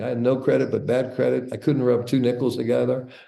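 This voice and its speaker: A man talks at a very fast pace, and audible echo from the room surrounds him. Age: 60s. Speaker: entrepreneur and author. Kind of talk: interview storytelling.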